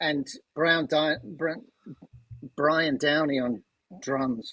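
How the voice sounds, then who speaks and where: Speaking very slowly with long, frequent pauses, a man with a fairly high pitch and a bright, sharp tone uses ordinary pitch variation. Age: 60s. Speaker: amateur musician and corporate change agent. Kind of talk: casual chat.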